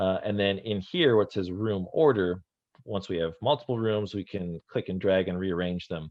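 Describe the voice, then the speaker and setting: This man has an ordinary speaking voice with fairly low pitch. He talks at a moderate pace with ordinary pitch variation. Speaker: workshop instructor. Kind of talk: tutorial.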